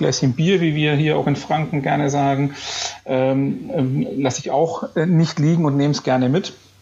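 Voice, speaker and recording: A man with a fairly high pitch talks at a moderate pace amid noticeable background noise. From Bavaria, Upper Franconia (Bayreuth). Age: 30s. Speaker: business association chairman and company executive. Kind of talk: podcast interview.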